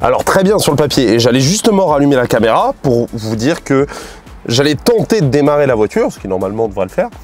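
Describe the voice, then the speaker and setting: Over music in the background, a man with a fairly high pitch talks at a very fast pace with very wide pitch swings. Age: 20s. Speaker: YouTuber car mechanic hobbyist. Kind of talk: vlog tutorial narration. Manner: casual, halting with repetitions.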